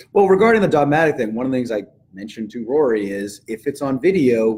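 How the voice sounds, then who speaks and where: A medium-pitched man with a Boston accent, lively intonation and a fairly quick pace. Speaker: co-host and martial arts instructor. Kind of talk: live-streamed class.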